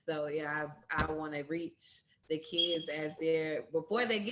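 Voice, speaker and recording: A woman speaks at a fairly slow pace with a very deep, low pitch. Noticeable background noise sits behind her. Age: 20s. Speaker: high school teacher. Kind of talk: panel introduction.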